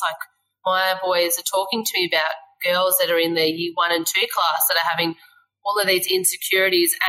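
With an Australian accent, a woman speaks at a fairly low pitch. Her tone is bright and sharp. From Australia, Western Australia. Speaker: fashion designer and small business owner. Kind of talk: casual chat.

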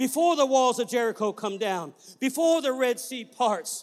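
At a moderate pace, a man speaks with an extremely high pitch. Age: 50s. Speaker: traveling preacher. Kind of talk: sermon. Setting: church.

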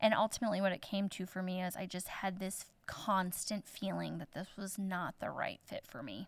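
A woman with a Midwestern American accent, medium pitch and fairly even intonation, with hardly any pauses. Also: moderate pace. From southern Indiana, then Iowa from teens. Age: 30s. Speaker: small-town florist and shop owner. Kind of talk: interview conversation.

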